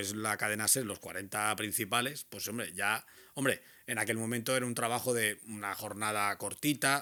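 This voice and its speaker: A man speaks at a moderate pace in a bright, sharp tone with fairly even intonation. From Balearic Islands, Spain. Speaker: radio presenter. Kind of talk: interview answer. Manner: hesitant, conversational.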